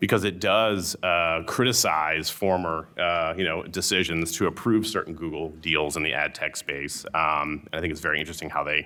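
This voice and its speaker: With a bright, sharp tone and fairly even intonation, the voice runs on with hardly any pauses. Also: man, very deep, low pitch for a man. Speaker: antitrust lawyer. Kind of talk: panel talk. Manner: fast.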